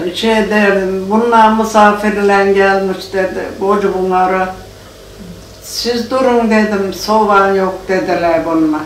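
Over light background noise and audible room echo, a woman speaks at a very slow pace with fairly even intonation. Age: 80s+. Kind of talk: interview answer. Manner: elderly, hard of hearing. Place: home room. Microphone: camera far.

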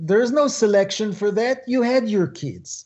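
Music plays in the background as a man speaks at a fairly slow pace. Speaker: guest. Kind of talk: interview answer. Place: home room. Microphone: video call.

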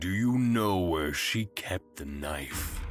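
A man's put-on character voice, very deep and low, at a very slow pace with faint music in the background. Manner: menacing.

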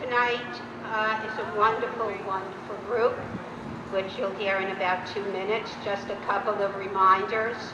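A woman speaks at a fairly slow pace amid noticeable background noise. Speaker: event organizer host. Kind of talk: public announcements. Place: open country. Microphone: handheld.

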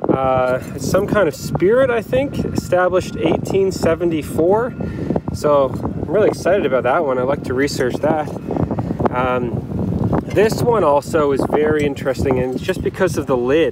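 A man talking at a fairly slow pace over loud background noise. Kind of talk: casual vlog chat. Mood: excited, relaxed. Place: beach. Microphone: phone near.

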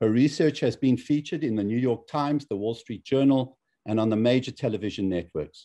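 A man speaks at a fairly quick pace in a medium pitch. His tone is dark and mellow, with ordinary pitch variation. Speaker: cardiologist and lecture series host. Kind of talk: event moderation. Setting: video call. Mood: warm, appreciative. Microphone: video call.

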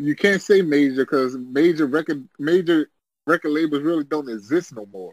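Speaking at a moderate pace with an American accent, a man with a plain, everyday voice and fairly high pitch shows ordinary pitch variation and big swings in loudness, in a dry, close sound with no echo. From US South. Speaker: podcast co-host. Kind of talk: casual chat.

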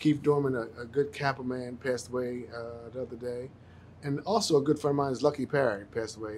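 There is light background noise behind a man talking. He keeps a fairly quick pace with ordinary pitch variation. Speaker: TV talk show host. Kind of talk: show opening monologue. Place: studio.

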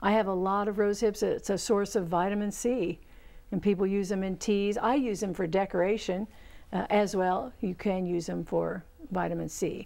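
A woman speaks at a moderate pace. Her intonation is fairly even. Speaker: horticulture instructor and show host. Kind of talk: call-in gardening show. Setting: studio. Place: studio. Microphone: lapel.

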